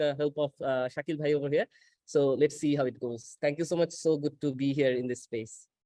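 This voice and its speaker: Here is a man with a Bengali accent. His tone is dark and mellow. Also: dry, close sound with no echo. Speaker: education technology worker. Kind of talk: self-introduction in online meeting. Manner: hesitant, many fillers.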